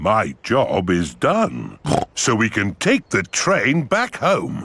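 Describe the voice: A man puts on a cartoonish character voice at a medium pitch. He speaks at a very slow pace.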